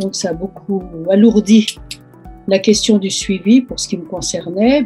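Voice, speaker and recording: Speech moves at a fairly slow pace with music playing in the background. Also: woman. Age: 80s+. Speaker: breast cancer patient. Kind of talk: interview answer. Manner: hesitant.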